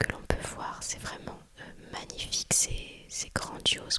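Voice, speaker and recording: Very slowly, a woman whispers. Behind her sits noticeable background noise. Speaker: ASMR creator. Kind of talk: ASMR vacation chat. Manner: whispered.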